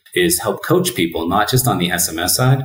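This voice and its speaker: A man's fairly quick speech with ordinary pitch variation, in a room with audible echo. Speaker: remote guest. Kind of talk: interview answer. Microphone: webcam.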